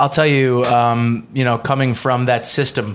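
A man has a plain, everyday voice at medium pitch. He speaks with an American accent. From Buffalo area, western New York. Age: 20s. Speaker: radio host. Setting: studio.

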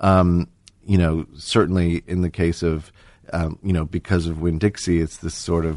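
A man's very deep, low voice, dark and mellow in tone, with monotone, flat intonation and a quiet background. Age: 50s. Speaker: composer. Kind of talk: interview. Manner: halting, many fillers.

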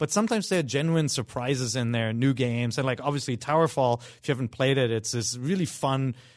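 This man talks at a very fast pace, his pitch medium and his pitch variation ordinary. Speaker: video game podcast panelist. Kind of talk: casual chat. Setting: studio.

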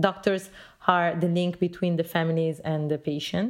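A woman with a fairly low pitch, fairly even intonation and a moderate pace. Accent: Italian. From Italy. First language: Italian. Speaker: journalist. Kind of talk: interview. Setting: phone call. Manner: halting.

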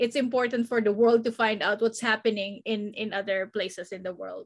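The recording is very clean with a silent background. A woman speaks at a fairly high pitch with monotone, flat intonation. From Philippines. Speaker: entertainment news correspondent. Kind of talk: casual panel discussion. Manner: halting, many fillers and repetitions.

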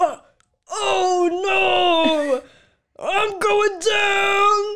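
This is a put-on character voice at an extremely high pitch. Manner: distressed, dramatic.

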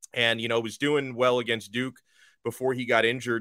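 In an American accent, a man with an unremarkable speaking voice talks at a fairly quick pace and medium pitch. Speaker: college football podcaster. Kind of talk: casual sports chat, interview. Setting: streaming video call.

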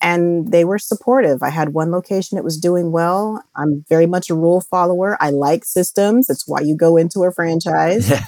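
A woman with a dark, mellow tone and fairly low pitch speaks at a moderate pace with hardly any pauses. Her pitch varies in an ordinary way, and the sound is dry and close with no echo. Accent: American. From United States (raised there since toddler, Jamaican family). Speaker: education franchise owner. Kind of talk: interview.

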